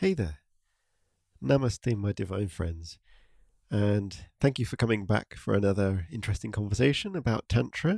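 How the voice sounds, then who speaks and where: Over a very clean recording with a silent background, a man with a British accent speaks at fairly low pitch and a moderate pace. His intonation is lively, broken by long, frequent pauses. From UK. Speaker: podcast host. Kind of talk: spiritual talk. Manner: halting, many fillers.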